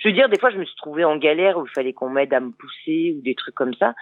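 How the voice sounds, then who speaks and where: A woman talks at a very fast pace with lively intonation. Her pitch is very deep and low. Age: 50s. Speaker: motorcycle traveller. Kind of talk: radio interview. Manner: hesitant, many fillers.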